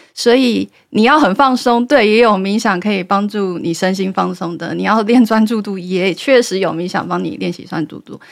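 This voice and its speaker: At a medium pitch and moderate pace, a woman talks with hardly any pauses, ordinary pitch variation, and big swings in loudness. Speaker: meditation guide. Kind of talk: interview.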